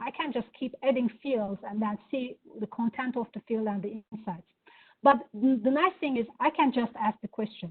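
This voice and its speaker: A woman's fairly high voice with a Turkish accent. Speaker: product executive. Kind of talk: product demo.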